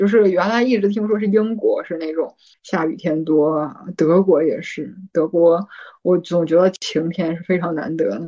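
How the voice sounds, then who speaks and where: In an ordinary speaking voice, a woman talks at a fairly slow pace with a fairly low pitch and ordinary pitch variation. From Northeast China. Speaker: PhD student. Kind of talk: casual chat.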